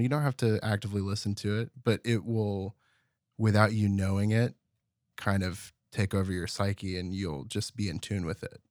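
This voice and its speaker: In a very clean recording with a silent background, a man speaks at a fairly low pitch and a moderate pace, with fairly even intonation and a dry, close sound with no echo. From Terrell, Texas. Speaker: audio producer and musician. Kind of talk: casual interview. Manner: reserved, few words.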